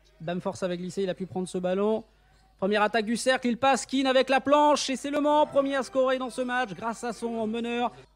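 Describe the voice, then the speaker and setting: Extremely high in pitch, a man speaks at a moderate pace with ordinary pitch variation. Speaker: basketball commentator. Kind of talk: basketball live commentary. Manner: excitable, rising on big plays.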